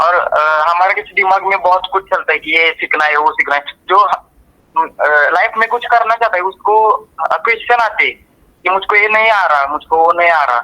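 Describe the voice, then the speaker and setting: A man speaks in a raised, projected voice at a high pitch. His pace is moderate and his pitch varies in an ordinary way. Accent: Marathi. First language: Marathi (speaking Hindi). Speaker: student. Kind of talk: testimonial. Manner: halting.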